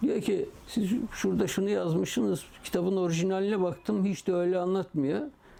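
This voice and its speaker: A man's high-pitched voice at a moderate pace, with hardly any pauses, very even loudness, ordinary pitch variation and noticeable background noise. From Eastern Turkey, Muş. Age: 70s. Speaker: publisher, retired lab manager. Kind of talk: oral history interview.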